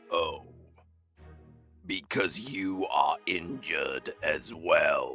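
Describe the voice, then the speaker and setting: Man in a put-on character voice at a very slow pace, with faint music in the background. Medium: audio drama. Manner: slow, solemn, ancient.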